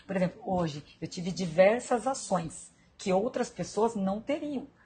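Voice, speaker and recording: A woman speaks in a medium pitch. Her voice is somewhat breathy. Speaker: live stream host, self-development coach. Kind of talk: live stream talk. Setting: hospital room.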